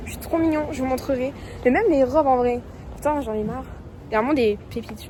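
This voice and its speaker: Over noticeable background noise, a woman with a high pitch talks very fast, with ordinary pitch variation, big swings in loudness and long, frequent pauses. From Toulouse, France. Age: 20s. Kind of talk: casual vlog talk.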